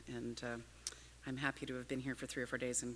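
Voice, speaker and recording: Her pitch very deep and low, a woman speaks with vocal fry and monotone, flat intonation. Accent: Canadian. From Canada. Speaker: urban policy speaker. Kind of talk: conference talk. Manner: fast.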